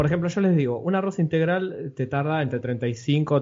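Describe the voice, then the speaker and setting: With a somewhat breathy voice, a man talks fairly slowly. His intonation is lively. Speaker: podcast host. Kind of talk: interview.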